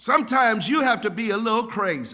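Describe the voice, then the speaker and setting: The voice is raised and projected, with ordinary pitch variation. Room echo is audible. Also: man. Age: 70s. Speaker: pastor. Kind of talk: sermon. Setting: church. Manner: animated.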